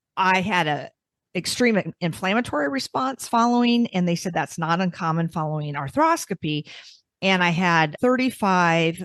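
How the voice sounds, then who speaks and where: A woman with an ordinary speaking voice talks at a moderate pace, her pitch fairly low and her intonation lively. The sound is dry and close with no echo, over a quiet background. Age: 60s. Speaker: podcast co-host. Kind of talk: casual interview chat.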